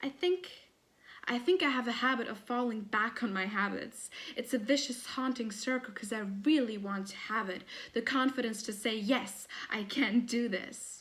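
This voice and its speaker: In a plain, everyday voice, a woman talks at a moderate pace, her fairly high pitch moving with ordinary variation. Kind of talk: poetry reading.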